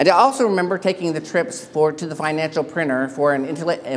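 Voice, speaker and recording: A man with a Texan accent. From Texas. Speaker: keynote speaker, paralegal. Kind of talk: keynote speech. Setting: stage with audience.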